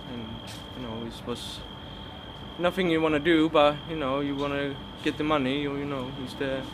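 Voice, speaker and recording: A man speaks with long, frequent pauses and big swings in loudness over noticeable background noise. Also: moderate pace. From Sweden, Gothenburg. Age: 20s. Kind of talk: testimony. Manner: halting, many fillers.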